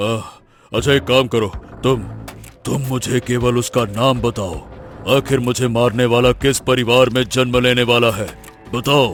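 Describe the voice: A man puts on a cartoonish character voice at medium pitch, with monotone, flat intonation and long, frequent pauses. Faint music plays in the background. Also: moderate pace.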